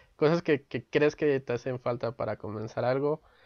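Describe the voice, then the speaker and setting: The man's intonation is fairly even, his pitch medium. He talks at a fairly quick pace. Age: 20s. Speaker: podcast host, sociology graduate. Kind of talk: casual chat. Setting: video call from home. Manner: halting, repeats words.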